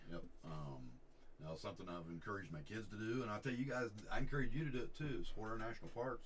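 Talking at a very fast pace with very wide pitch swings, a man with a fairly low pitch is heard over light background noise. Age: 60s. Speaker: pastor and veteran; card break host. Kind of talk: casual chat. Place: shop.

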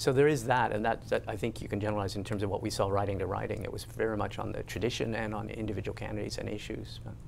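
A man talks with hardly any pauses. Light background noise can be heard. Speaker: reporter. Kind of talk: panel discussion. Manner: halting. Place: studio. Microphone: lapel.

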